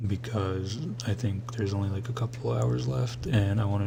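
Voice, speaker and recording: A soft-spoken man mumbles at a moderate pace and a fairly low pitch with lively intonation, amid noticeable background noise and audible room echo. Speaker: vlogger talking to camera alone. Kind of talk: late-night solo ramble. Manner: mumbling.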